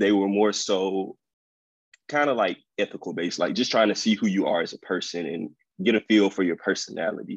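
With a Mississippi accent, a man with fairly low pitch talks at a moderate pace with ordinary pitch variation, in a dry, close sound with no echo. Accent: Southern US (Mississippi). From Mississippi, US South. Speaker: incoming dental student. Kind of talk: interview.

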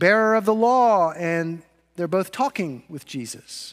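A man with a high voice speaks at a fairly slow pace with lively intonation, recorded very cleanly against a silent background. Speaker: pastor. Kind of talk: sermon. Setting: church.

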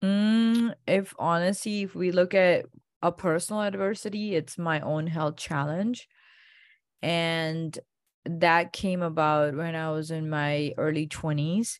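A woman with an Indian accent at a very slow pace on a very clean recording, silent background. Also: ordinary pitch variation. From India (Gujarat). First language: Indian language. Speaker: functional medicine doctor. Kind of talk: interview.

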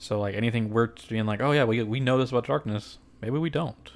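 The man's voice sits at a medium pitch. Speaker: video game podcast host. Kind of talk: casual solo podcast commentary. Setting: home studio with mic. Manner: fast.

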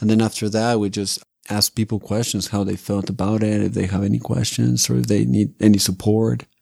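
A man speaks with a Spanish accent and lively intonation. The recording is very clean, with a silent background. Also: fairly low pitch for a man, fairly quick pace. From Mexico City. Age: 30s. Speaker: Zen monk. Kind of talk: casual interview. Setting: podcast studio.

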